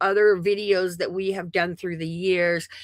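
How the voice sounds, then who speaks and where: In a very clean recording with a silent background, a woman speaks with a bright, sharp tone at a fairly low pitch. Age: 60s. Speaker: craft livestream host. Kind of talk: live craft demonstration chat. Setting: home craft room livestream. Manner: casual, chatty with many fillers.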